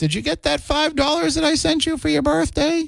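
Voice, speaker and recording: A man's put-on character voice, extremely high in pitch, at a fairly quick pace. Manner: sweet, quavering.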